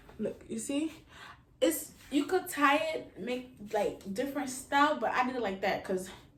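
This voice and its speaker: A woman speaks with a high pitch and lively intonation. Noticeable background noise runs underneath. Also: moderate pace. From Haiti. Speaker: YouTuber. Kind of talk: casual talk to camera, try-on haul. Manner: upbeat.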